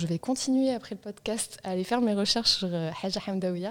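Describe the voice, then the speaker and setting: Talking at a very fast pace, a woman with a fairly high pitch shows ordinary pitch variation. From southern France, Marseille area. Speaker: journalist. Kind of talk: casual chat. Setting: studio.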